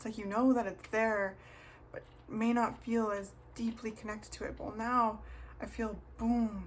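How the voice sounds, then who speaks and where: A woman talks at a fairly slow pace, and some room echo can be heard. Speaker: tarot reader. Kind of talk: tarot reading video.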